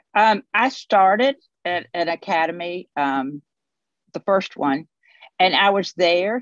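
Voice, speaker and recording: A woman's voice comes through in a dry, close sound with no echo. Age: 60s. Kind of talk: interview. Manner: halting.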